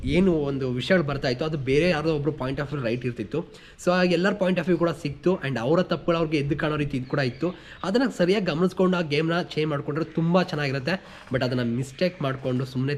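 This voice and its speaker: A man speaks with a fairly high pitch and lively intonation over noticeable background noise. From rural Karnataka village. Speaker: YouTube reality show reviewer. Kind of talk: episode review monologue.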